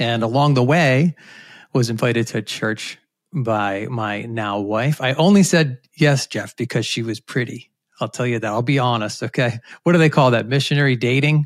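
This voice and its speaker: In a very clean recording with a silent background and a dry, close sound with no echo, a man has a normal speaking voice at a medium pitch, ordinary pitch variation and a moderate pace. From US Northeast, Rhode Island. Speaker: communication professor. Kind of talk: interview.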